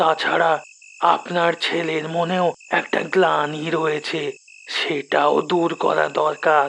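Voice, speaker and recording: A cartoonish character voice sits at a middle pitch. It moves at a very slow pace. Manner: calm, measured, unhurried.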